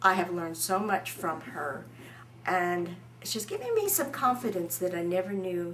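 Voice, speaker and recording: In a room with audible echo, a woman speaks at a moderate pace and medium pitch. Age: 60s. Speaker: crime survivor and shooting student. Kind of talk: testimony.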